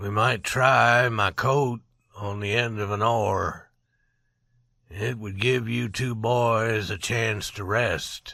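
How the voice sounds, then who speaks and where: A man in a raspy, put-on character voice, very slow, with fairly even intonation. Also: medium pitch for a man. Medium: read story. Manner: low, calm.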